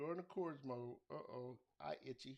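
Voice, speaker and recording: The speech runs at a fairly slow pace with ordinary pitch variation. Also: man. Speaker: beat maker streamer. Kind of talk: live stream tutorial. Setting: live stream at home. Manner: loud; casual, halting.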